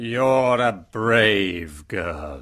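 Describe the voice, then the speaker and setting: In a very clean recording with a silent background, a raspy, put-on character voice moves with lively intonation. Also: man. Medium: read story. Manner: stern, commanding.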